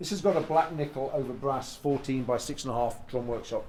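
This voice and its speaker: Speaking with an English accent, a man keeps a fairly quick pace. His pitch is fairly high, with ordinary variation. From England. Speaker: drum collector and artist manager. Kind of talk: casual guided tour. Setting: home drum room. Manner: casual with many fillers.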